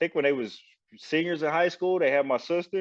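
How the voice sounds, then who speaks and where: A man with a Southern accent and a fairly high pitch talks at a fairly quick pace against a quiet background. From Saginaw, Michigan, US Midwest, Southern-raised parents. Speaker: former Marine. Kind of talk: casual chat. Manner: animated.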